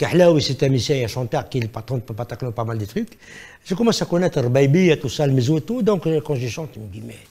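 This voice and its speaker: A man with a non-native accent talks at a very fast pace in a dark, mellow, somewhat breathy tone, with lively intonation and big swings in loudness, on a very clean recording with a silent background. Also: fairly high pitch for a man. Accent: foreign accent in French. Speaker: singer and musician. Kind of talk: interview.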